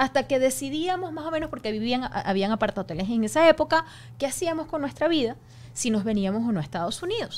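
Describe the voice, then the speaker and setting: A high-pitched woman at a very fast pace, with very wide pitch swings. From Venezuela. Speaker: news anchor. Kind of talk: casual chat. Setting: studio. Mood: emotional recounting of hardship. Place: studio. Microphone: studio mic.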